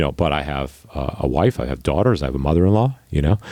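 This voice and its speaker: There is noticeable background noise behind this man. He has a very deep, low pitch and an American accent. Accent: New York accent, hidden. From Long Island, New York. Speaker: podcast host. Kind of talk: podcast interview.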